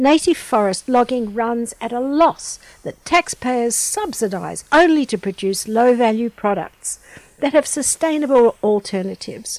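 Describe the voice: The delivery is fairly slow, with lively intonation. The sound is dry and close with no echo, but there is noticeable background noise. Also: woman, high pitch for a woman.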